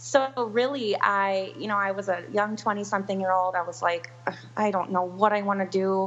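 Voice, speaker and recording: With an Upper Midwest accent, a woman speaks at a moderate pace and medium pitch with ordinary pitch variation. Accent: Upper Midwest American. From US Upper Midwest, Milwaukee, Wisconsin. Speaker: wedding planner. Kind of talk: interview.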